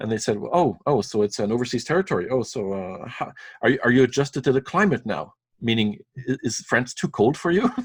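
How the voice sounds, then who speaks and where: A man with a French accent, somewhat breathy, medium-pitched, at a fairly quick pace with lively intonation. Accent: French accent, puzzles French Canadians. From Saint-Pierre et Miquelon (French islands off Newfoundland). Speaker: school principal and elected French delegate. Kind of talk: interview.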